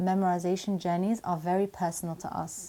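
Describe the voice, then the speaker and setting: A dark, mellow tone carries a British accent at a moderate pace. The recording is very clean, with a silent background. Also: woman. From UK. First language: not Arabic. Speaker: Quran memorization coach. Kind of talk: Q&A video answering viewer questions.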